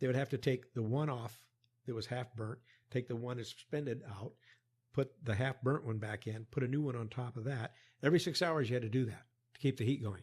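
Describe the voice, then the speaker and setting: A man with a medium pitch and an American accent, somewhat breathy, talking at a fairly quick pace with fairly even intonation, on a very clean recording with a silent background. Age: 70s. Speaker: former US Army worker, long-time expat. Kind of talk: interview, storytelling. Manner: halting.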